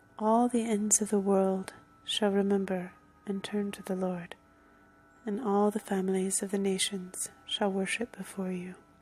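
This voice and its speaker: Someone soft-spoken talks at a fairly slow pace with music in the background. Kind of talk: scripture reading, ASMR.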